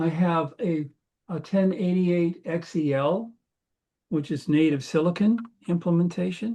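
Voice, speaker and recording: A man speaks in a dark, mellow tone at a fairly high pitch. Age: 70s. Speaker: computer engineer. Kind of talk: casual chat.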